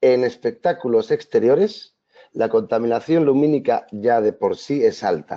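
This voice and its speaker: At a fairly slow pace, a man speaks with very even loudness. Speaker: video mapping artist and presenter. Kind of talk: webinar presentation. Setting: online webinar.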